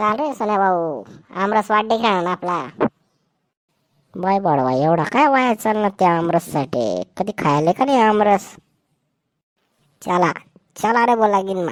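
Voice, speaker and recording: Using a cartoonish character voice, a woman speaks fairly slowly at a medium pitch with lively intonation. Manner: loud, rustic, teasing.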